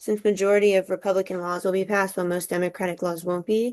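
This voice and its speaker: A woman's medium-pitched voice in an American accent, dark and mellow in tone, flat and monotone, at a very fast pace. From Southern California. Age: 20s. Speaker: college student. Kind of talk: class assignment discussion.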